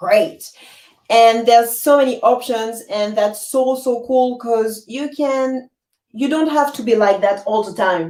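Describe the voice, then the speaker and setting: Using an French accent, a woman speaks at a high pitch. Her intonation is lively. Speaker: musician. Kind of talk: interview. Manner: halting.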